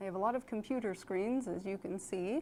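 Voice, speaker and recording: A woman's dark, mellow voice with lively intonation at a fairly slow pace. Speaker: firefighter giving a station tour. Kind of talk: guided walking tour. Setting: indoors at a fire station. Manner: soft-spoken.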